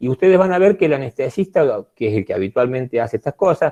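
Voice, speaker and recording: A man's fairly high-pitched voice with a dark, mellow tone, very wide pitch swings, and a dry, close sound with no echo. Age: 70s. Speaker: physician. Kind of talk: lecture. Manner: hesitant with many fillers.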